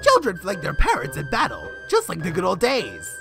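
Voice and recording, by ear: A woman does a cartoonish character voice with a fairly bright tone, vocal fry and a fairly low pitch that swings very widely. She speaks at a moderate pace, with faint music in the background.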